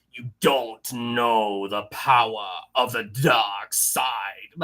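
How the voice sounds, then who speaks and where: A put-on character voice from a man, raspy and medium in pitch, at a very slow pace. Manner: menacing.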